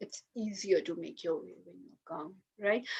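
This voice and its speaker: At a fairly slow pace, a woman is talking. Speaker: lawyer. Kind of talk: webinar talk.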